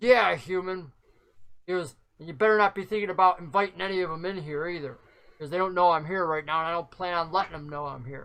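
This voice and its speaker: Putting on a growling character voice, a man talks at a very fast pace, high in pitch, with ordinary pitch variation. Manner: snarling.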